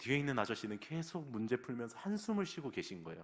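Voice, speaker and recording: Here a man speaks at a fairly quick pace. His pitch swings very widely. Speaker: pastor. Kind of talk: sermon. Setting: church.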